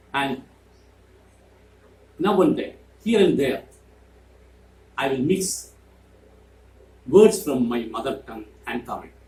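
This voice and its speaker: A man with a Keralan accent speaks fairly slowly in a fairly high voice, with very wide pitch swings and long, frequent pauses. His tone is dark and mellow, with vocal fry. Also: big swings in loudness. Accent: Indian (Malayali) English. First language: Malayalam. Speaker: YouTuber. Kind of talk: monologue to camera.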